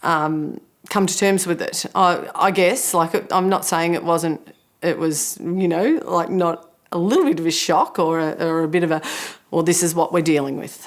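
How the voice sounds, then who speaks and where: In a plain, everyday voice, a woman talks at a fairly low pitch with fairly even intonation and a moderate pace. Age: 50s. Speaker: breast cancer patient sharing experience. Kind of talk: testimony.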